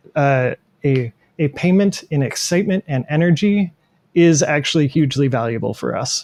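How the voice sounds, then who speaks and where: A somewhat breathy male voice with lively intonation at a moderate pace, in a dry, close sound with no echo. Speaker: podcast co-host. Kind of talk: casual chat. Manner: hesitant, many fillers.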